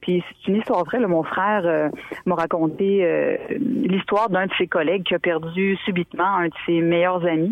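A woman speaks at a moderate pace with a fairly low pitch, ordinary pitch variation and very even loudness. Background noise is noticeable. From Quebec, Montmagny region. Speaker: author. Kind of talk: interview.

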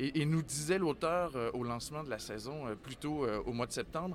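A man with a fairly high pitch uses a normal speaking voice, talking at a moderate pace with ordinary pitch variation. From Quebec City. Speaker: theatre artistic director. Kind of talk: interview. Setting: book fair, live on site.

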